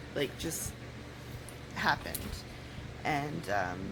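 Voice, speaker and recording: The speech comes at a fairly slow pace. Audible echo fills the room. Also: woman. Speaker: vlogger. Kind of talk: casual vlog talk. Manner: slightly slurred speech; halting, with fillers.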